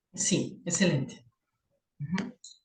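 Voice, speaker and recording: In a Peruvian accent, a woman speaks at a fairly slow pace in a somewhat breathy voice. Audible room echo surrounds her. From Peru, Lima. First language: Spanish (speaking Portuguese). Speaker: professor, conference moderator. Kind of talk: academic conference discussion. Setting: video call.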